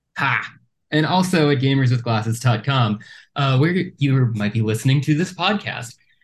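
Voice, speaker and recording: Somewhat breathy, a man at a medium pitch speaks at a fairly slow pace with lively intonation. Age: 30s. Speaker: podcast host. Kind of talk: casual chat. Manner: halting, repeats words.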